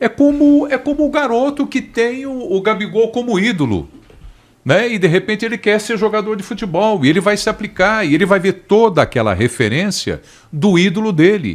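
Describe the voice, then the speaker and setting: This man's voice sits high in pitch. He talks at a moderate speed. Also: lively intonation. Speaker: football pundit. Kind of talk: panel discussion.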